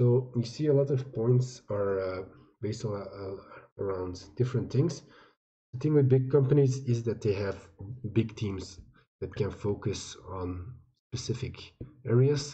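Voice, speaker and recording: Speaking at a fairly slow pace, a man leaves long, frequent pauses. His medium-pitched voice is somewhat breathy, with ordinary pitch variation. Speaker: crypto YouTuber reviewing token sales. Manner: halting, many fillers and restarts.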